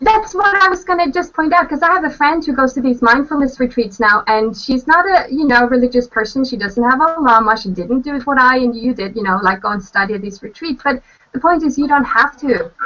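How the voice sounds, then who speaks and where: A woman's high, raised and projected voice with a Norwegian accent, very wide pitch swings, a fairly quick pace, and noticeable background noise. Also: hardly any pauses. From Norway. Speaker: author and translator. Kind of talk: casual chat. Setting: video call.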